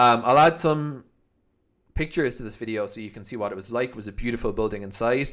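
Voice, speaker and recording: With a Cork accent, a man speaks at a very fast pace. His pitch variation is ordinary, and the background is quiet. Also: big swings in loudness. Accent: Irish (Cork). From Ireland. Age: 30s. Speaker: YouTuber. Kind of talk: vlog monologue. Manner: casual, hesitant with fillers. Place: home room. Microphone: studio mic.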